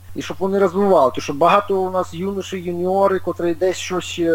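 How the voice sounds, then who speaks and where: High male speech at a moderate speed, noticeable noise in the background. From Ukraine, Dnipro. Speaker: retired long-distance runner. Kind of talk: interview. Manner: halting.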